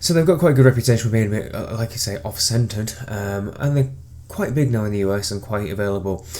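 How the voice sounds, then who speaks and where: With an English accent, a man speaks at a fairly quick pace in a medium pitch, his dark, mellow tone somewhat breathy and his intonation lively. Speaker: beer reviewer. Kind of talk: casual product review. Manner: hesitant, many fillers.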